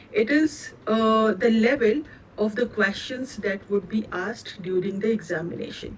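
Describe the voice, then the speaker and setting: Speaking with an Indian accent, a woman uses a fairly high pitch and ordinary pitch variation at a moderate pace. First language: Indian language, not English. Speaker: cloud certification trainer. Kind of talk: live online training session. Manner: hesitant, with many fillers.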